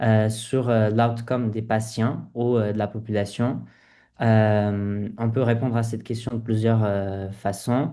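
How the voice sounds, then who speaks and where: Against a quiet background, a man with a dark, mellow tone speaks at medium pitch, very slowly, in a monotone, flat intonation. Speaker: public health medical resident. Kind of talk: informational presentation. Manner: halting, many hesitations.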